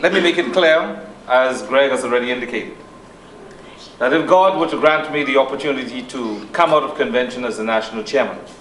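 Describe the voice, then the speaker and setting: A man speaks at a fairly high pitch with ordinary pitch variation. Noticeable background noise and audible room echo surround him. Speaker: politician. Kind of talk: political speech. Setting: hall with audience and microphone.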